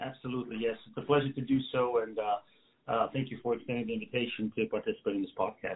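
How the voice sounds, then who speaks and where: The delivery is very fast. Intonation stays flat and monotone. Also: man, medium pitch for a man. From Bavaria, Germany. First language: German. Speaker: podcast guest. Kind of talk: interview. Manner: halting, many fillers.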